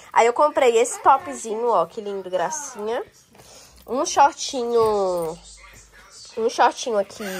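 Speaking at a very slow pace, a woman with a fairly high voice uses very wide pitch swings and big swings in loudness, with long, frequent pauses. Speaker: lifestyle vlogger. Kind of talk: casual vlog talk to camera. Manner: animated.

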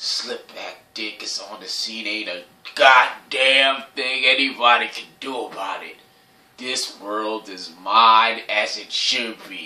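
A man puts on a character voice at a medium pitch. He talks at a fairly slow pace with a slight echo. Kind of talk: comic sketch villain. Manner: gloating, menacing, triumphant.

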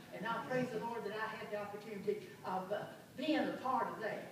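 The speech moves at a moderate pace with ordinary pitch variation, strong room echo and noticeable background noise. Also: woman. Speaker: missionary. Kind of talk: church testimony. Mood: warm, joyful, grateful. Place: church. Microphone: camera far.

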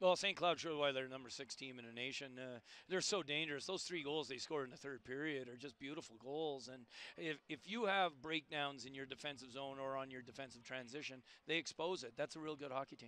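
At a fairly quick pace, a man speaks at medium pitch with ordinary pitch variation and a bright, sharp, clear, smooth tone.

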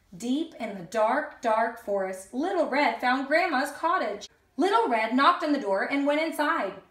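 Strong room echo surrounds a woman whose high-pitched, fairly bright voice moves at a fairly slow pace with lively intonation.

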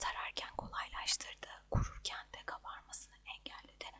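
A woman whispers over noticeable background noise. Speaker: ASMR creator. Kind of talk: ASMR monthly empties review talk to camera. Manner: whispered.

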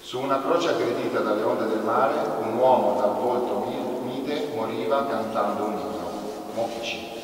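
A man at a moderate pace with fairly even intonation and long, frequent pauses, amid noticeable background noise and strong room echo. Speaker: event host and presenter. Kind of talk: moderating a book presentation. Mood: calm, reflective. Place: church.

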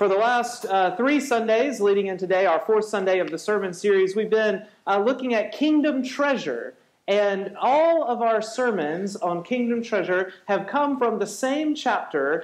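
Here a man speaks with lively intonation. The pace is moderate. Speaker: pastor. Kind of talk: sermon. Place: church.

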